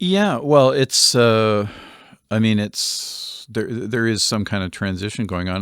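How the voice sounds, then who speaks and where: An ordinary speaking voice with a Canadian accent, ordinary pitch variation and a fairly slow pace. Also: man. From Canada, Winnipeg. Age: 60s. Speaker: composer and music teacher. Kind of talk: interview conversation.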